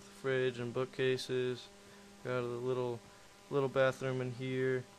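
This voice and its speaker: Medium-pitched male voice against noticeable background noise. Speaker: gaming video creator. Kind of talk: game build showcase narration. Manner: casual, hesitant.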